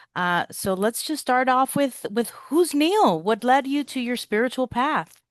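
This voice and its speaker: Against a quiet background, a woman with a high pitch and lively intonation speaks at a fairly slow pace in a dry, close sound with no echo. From Cuba-born, raised in US. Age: 40s. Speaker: podcast host. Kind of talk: podcast interview.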